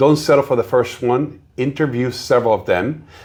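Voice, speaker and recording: This man's pitch is fairly high. There is a somewhat breathy quality to his voice. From South America. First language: Spanish. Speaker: realtor. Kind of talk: interview.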